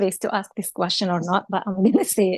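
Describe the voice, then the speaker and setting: In a dry, close recording with no echo and a quiet background, a woman speaks with a Moroccan accent. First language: Moroccan Arabic. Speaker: audience member. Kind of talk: question from audience. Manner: halting.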